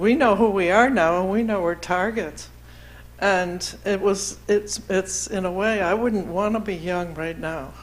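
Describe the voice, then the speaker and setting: With audible room echo, a woman at a medium pitch talks at a fairly slow pace with ordinary pitch variation. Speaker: LGBTQ activist, panelist. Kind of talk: panel discussion.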